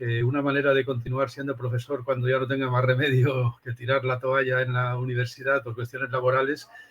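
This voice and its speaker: Over noticeable background noise, a man with a medium pitch talks in a monotone, flat intonation at a fairly quick pace with hardly any pauses. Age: 60s. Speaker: philosophy professor. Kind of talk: interview.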